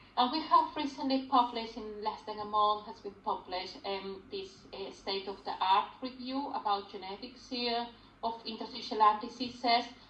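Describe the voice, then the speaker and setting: A woman with fairly high pitch, ordinary pitch variation and big swings in loudness, over noticeable background noise. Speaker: lung disease consultant doctor. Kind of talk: medical talk to patients. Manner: slow.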